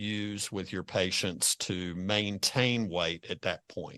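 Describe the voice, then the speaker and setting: A man with an unremarkable speaking voice and a fairly low pitch talks at a fairly slow pace, the sound dry and close with no echo against a quiet background. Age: 60s. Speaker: financial advisor podcast host. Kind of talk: podcast interview.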